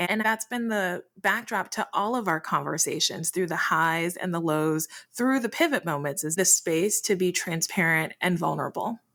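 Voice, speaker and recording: On a very clean recording with a silent background, a woman speaks with an American accent in a bright, sharp tone. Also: hardly any pauses. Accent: shifts between Midwest and Southern. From Detroit, family from US South. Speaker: podcast co-host, entrepreneur. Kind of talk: casual chat.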